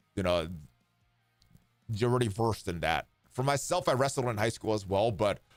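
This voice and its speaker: A man with a fairly low pitch, music in the background. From Hawaii. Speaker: game streamer. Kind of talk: casual chat. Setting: live stream.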